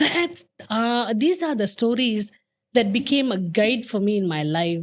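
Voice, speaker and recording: A woman has a plain, everyday voice at medium pitch. Her intonation is lively. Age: 50s. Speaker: podcast guest. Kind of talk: casual chat.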